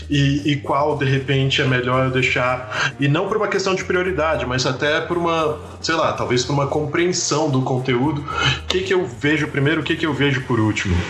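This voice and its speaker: A man talks at a moderate pace in a fairly high pitch with very even loudness. Noticeable background noise and audible room echo fill the recording. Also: ordinary pitch variation. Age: 30s. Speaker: geography teacher, podcast host. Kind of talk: casual educational chat.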